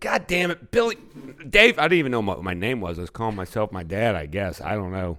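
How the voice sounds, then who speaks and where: A man with a Midwestern US accent and a fairly low pitch, at a very fast pace with very wide pitch swings. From Kansas City. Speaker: singer and guitarist. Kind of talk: casual interview.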